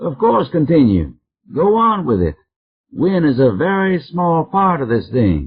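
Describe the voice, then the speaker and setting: A man puts on a gruff character voice with a fairly high pitch. He moves at a moderate pace with very wide pitch swings. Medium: read story.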